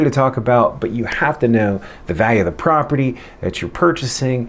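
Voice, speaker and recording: This man speaks at a medium pitch with lively intonation. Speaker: real estate agent. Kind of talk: casual vlog advice.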